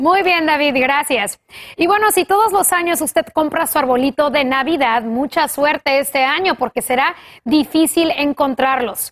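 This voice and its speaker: The sound is dry and close, with no echo. Delivery has a fairly slow pace, very even loudness and ordinary pitch variation. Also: woman, high pitch for a woman. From Los Angeles, US, Mexican-American. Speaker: news anchor. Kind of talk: news reading.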